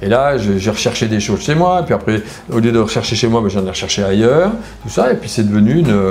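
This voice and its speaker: Very fast speech from a man at medium pitch with lively intonation, amid audible room echo and noticeable background noise. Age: 60s. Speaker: former reality TV contestant. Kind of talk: interview. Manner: hesitant, many fillers.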